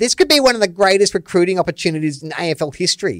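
A put-on character voice at a middle pitch. It sounds whiny and races along at a very fast pace. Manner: mocking, whiny.

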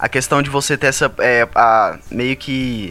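A man's voice over noticeable background noise. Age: 20s. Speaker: engineering student. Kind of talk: casual chat.

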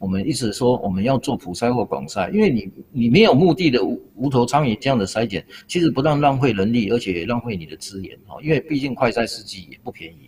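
A man's medium-pitched, somewhat breathy voice at a fairly quick pace, with very wide swings in pitch. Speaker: public health professor. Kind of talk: expert interview.

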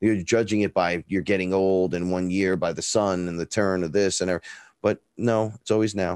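A man with a Bronx accent and a very deep, low pitch talks at a fairly quick pace. The sound is dry and close with no echo, and the recording is very clean with a silent background. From New York, the Bronx. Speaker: rapper and neo-shaman. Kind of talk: interview storytelling. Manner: talkative; animated.

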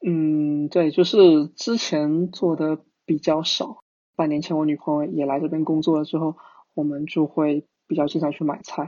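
His intonation stays monotone and flat. The man talks at a moderate pace in a fairly high pitch. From Fujian, China. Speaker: software engineer. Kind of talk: casual interview.

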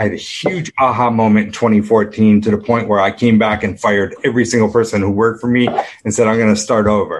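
A man with an American accent at a fairly low pitch, talking at a fairly quick pace over noticeable background noise. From upstate New York. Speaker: business coach. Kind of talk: interview conversation. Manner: animated.

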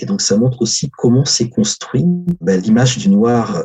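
A man with a medium pitch talks at a moderate pace, somewhat breathy, his intonation lively. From Africa. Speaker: historian. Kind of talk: interview.

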